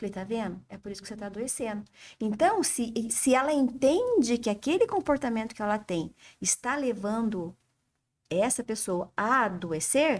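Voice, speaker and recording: Speaking at a moderate pace, a woman with a fairly high pitch sounds animated, her intonation lively and her loudness swinging widely. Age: 60s. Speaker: flower essence therapist. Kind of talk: interview. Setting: studio.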